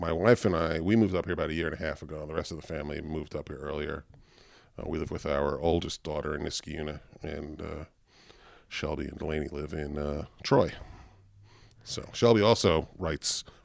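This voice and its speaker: A man with a Long Island accent speaks at a very deep, low pitch. His pace is fairly quick, broken by long, frequent pauses. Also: ordinary pitch variation. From Long Island, New York. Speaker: guitarist. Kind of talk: casual interview chat. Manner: many fillers (um, uh).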